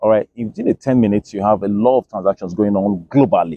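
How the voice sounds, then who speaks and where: The speaker has an African accent. The pace is very fast. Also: man. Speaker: crypto educator. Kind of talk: educational explainer. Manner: repetitive fillers (okay, all right).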